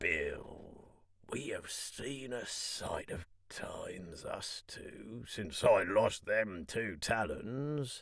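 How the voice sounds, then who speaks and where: Here a man puts on a raspy character voice. He speaks at a very slow pace. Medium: read story. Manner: half fawning, half sneering.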